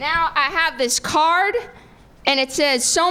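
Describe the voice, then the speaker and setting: A woman with an American accent uses a raised, projected voice at a high pitch and a very slow pace, with ordinary pitch variation and noticeable background noise. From New Jersey. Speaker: stand-up comedian. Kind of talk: stand-up.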